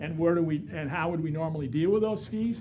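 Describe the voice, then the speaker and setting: A man's dark, mellow tone with vocal fry and audible room echo. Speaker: real estate instructor. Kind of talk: lecture.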